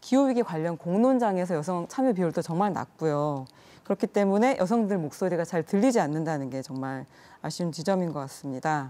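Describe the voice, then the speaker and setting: A woman's fairly low, dark, mellow voice at a fairly quick pace, with lively intonation. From South Korea. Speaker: secretary general of a women's environmental NGO; interview guest. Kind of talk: news interview. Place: studio.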